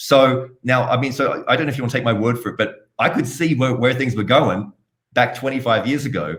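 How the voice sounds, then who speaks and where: A man, somewhat breathy, with a slight Australian accent. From Australia, Sydney. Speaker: blockchain entrepreneur. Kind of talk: interview.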